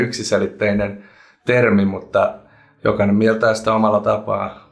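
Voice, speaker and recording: A man talks at a medium pitch and moderate pace with flat, monotone intonation. Room echo can be heard. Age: 20s. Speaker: local politician and parliamentary candidate. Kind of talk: interview.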